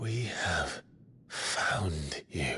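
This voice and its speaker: Over clear background noise, a man uses a raspy, cartoonish character voice at a medium pitch. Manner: low, restrained, earnest.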